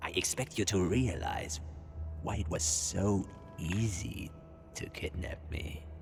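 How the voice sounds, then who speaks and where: Clear background noise sits under a man's very deep, low put-on character voice, delivered at a fairly slow pace with long, frequent pauses. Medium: machinima. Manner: smug, sardonic.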